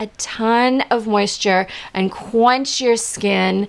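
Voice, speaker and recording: The speaker is a woman with a fairly high pitch. Her intonation is fairly even. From Saskatoon, Canada; Canada. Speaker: skincare brand founder; presenter. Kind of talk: tutorial. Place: studio.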